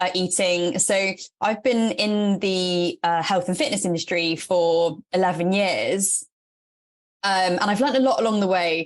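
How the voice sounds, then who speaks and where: Against a quiet background, a woman with an English accent speaks at a medium pitch with ordinary pitch variation. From England. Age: 30s. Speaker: fitness and nutrition coach. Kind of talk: podcast interview.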